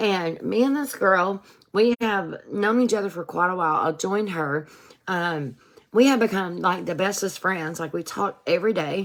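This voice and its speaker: A woman with a plain, everyday voice, medium pitch and a moderate pace. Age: 40s. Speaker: wellness product seller and recovery vlogger. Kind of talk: casual livestream talk. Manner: casual, conversational with many fillers.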